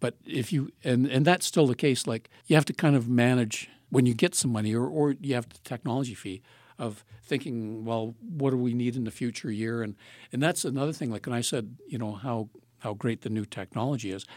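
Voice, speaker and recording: Recorded very cleanly against a silent background, a man with a Canadian accent uses a normal speaking voice, medium in pitch, moving at a fairly quick pace with ordinary pitch variation. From southern Ontario, Canada. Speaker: retired film professor and program coordinator. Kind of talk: casual interview.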